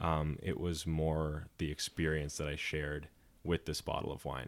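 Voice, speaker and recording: A man with a very deep, low pitch and an American accent, at a moderate pace, on a very clean recording with a silent background. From US South, Georgia. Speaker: sommelier. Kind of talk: casual chat.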